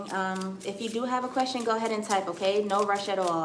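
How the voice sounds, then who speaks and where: With an American accent, a woman talks fairly quickly at a fairly high pitch with ordinary variation, amid audible room echo and noticeable background noise. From US. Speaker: tarot reader. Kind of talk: live-stream tarot reading.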